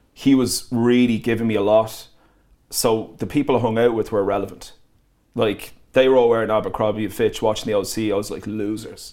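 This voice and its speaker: A man with an Irish accent, dark and mellow in tone, at a fairly quick pace with monotone, flat intonation. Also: medium pitch for a man. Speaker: DJ and producer. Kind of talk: casual interview chat.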